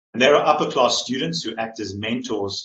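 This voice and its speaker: This man speaks with a South African accent and ordinary pitch variation. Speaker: staff in residence, PhD candidate. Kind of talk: conference presentation.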